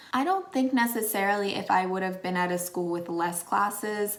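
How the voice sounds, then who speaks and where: A woman with an American accent speaks at a moderate pace, medium in pitch with ordinary pitch variation. She has a normal speaking voice. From Pennsylvania, USA. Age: 20s. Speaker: former English teacher in Japan. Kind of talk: casual talk to camera.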